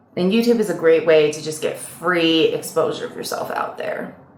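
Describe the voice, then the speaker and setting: Her delivery moves at a moderate pace. This woman's recording carries audible room echo and noticeable background noise. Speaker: model and actor. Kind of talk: casual vlog talk. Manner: casual, chatty.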